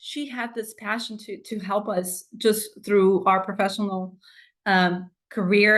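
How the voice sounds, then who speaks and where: A woman speaks with a Spanish accent at a fairly slow pace. Her intonation is fairly even, and the background is quiet. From Mexico. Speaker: doctoral graduate. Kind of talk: tribute speech. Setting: video call. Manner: halting.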